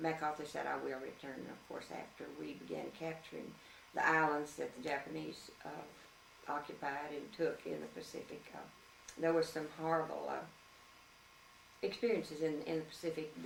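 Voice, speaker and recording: A woman with a Louisiana accent at a moderate pace, big swings in loudness, and noticeable background noise. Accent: Southern American (Louisiana). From Shreveport, Louisiana. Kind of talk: interview answer.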